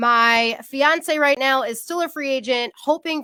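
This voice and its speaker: In a very clean recording with a silent background and a dry, close sound with no echo, a woman speaks in an upbeat, bright, sharp tone at a high pitch with ordinary pitch variation. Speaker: podcast host. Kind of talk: podcast intro.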